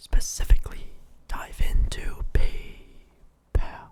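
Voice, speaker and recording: Whispered speech comes through clearly present background noise. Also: man. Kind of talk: ASMR stock market review.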